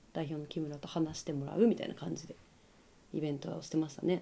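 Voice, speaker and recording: A woman's very deep, low pitch and dark, mellow tone with vocal fry, fairly quick pace broken by long, frequent pauses, fairly even intonation and big swings in loudness. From Hokkaido, Japan (Kushiro). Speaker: apparel brand staff, community organizer. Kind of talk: casual interview. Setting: shop.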